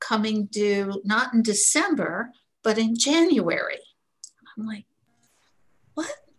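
Fairly high pitch from a somewhat breathy woman, with ordinary pitch variation at a fairly slow pace. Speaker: program member. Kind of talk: casual chat.

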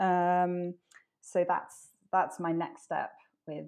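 A woman speaks in a Welsh accent at a fairly low pitch. The background is quiet. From Wales. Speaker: ocean conservation advocate. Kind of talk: casual interview. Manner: hesitant, many fillers.

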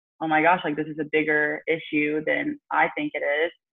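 This woman has a very deep, low-pitched voice. She speaks with an American accent. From Alabama, US South. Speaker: swimmer. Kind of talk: casual chat. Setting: video call.

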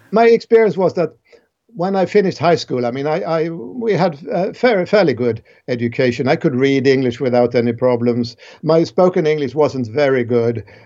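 Speaking with a Swedish accent at a moderate pace, a man has a dark, mellow tone, a fairly high pitch, and lively intonation. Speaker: cognitive science professor. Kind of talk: interview.

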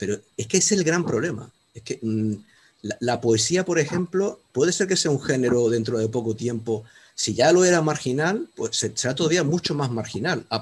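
A man's voice sits fairly high and sounds somewhat breathy. His intonation is lively and his pace moderate. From Canary Islands. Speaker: audience member, law professor. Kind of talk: audience question. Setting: video call.

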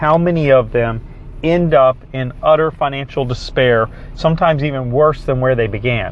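A man with a fairly high pitch speaks at a moderate pace. His pitch varies in an ordinary way, and there is noticeable background noise. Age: 50s. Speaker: success coach. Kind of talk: motivational talk. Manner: animated.

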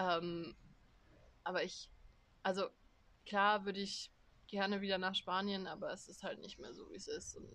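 A woman speaks with big swings in loudness and long, frequent pauses. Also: moderate pace. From Germany. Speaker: podcast co-host, student. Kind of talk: casual chat. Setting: outdoors on a terrace.

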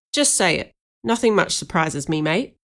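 On a very clean recording with a silent background, a woman uses a gruff, put-on character voice at fairly low pitch and a moderate pace. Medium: read story. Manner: terse, blunt.

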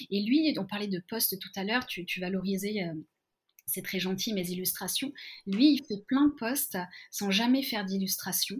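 In a very clean recording with a silent background, a woman speaks at a medium pitch and moderate pace, somewhat breathy, with ordinary pitch variation. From France, Lyon. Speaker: learning facilitator. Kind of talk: interview. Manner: halting, many repetitions.

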